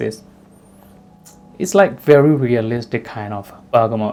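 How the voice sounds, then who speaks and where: A man's medium-pitched voice, dark and mellow in tone, with ordinary pitch variation and a fairly slow pace. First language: Burmese. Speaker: fragrance reviewer. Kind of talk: product review. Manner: casual, hesitant with fillers.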